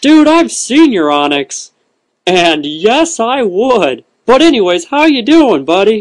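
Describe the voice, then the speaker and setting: A man talks at a high pitch and a fairly slow pace. His pitch swings very widely. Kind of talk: comic overacting. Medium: comedy sketch. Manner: upbeat, chatty, flustered.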